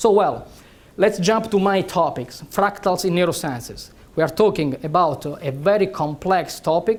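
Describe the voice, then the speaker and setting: Someone with an Italian accent talks at a moderate pace. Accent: Italian accent, noticeable. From Italy. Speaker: neurosurgeon and researcher. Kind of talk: lecture. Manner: hesitant, many fillers.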